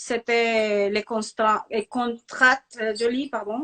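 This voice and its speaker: At a very slow pace, a woman speaks with a fairly high pitch in a dry, close sound with no echo. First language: Spanish (speaking French). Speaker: actress. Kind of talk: interview. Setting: Instagram live video call. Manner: halting, with hesitations.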